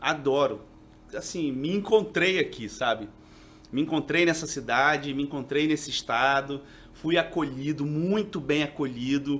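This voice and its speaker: This man has an unremarkable speaking voice with fairly high pitch and ordinary pitch variation. He speaks at a fairly slow pace. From Rio de Janeiro, then Minas Gerais from 16. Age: 40s. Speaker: TV journalist and reporter. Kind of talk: casual podcast interview.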